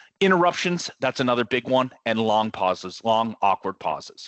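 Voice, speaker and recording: A fairly low-pitched man at a fairly quick pace, with ordinary pitch variation. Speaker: product presenter. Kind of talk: product demo presentation. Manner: fast.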